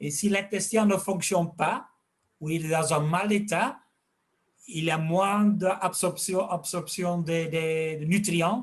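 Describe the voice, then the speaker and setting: Here a man speaks at a high pitch. His pace is very slow and his intonation fairly even. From Flanders, Belgium. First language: Dutch (speaking French). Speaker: fish health expert and fish food maker. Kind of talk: interview. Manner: halting.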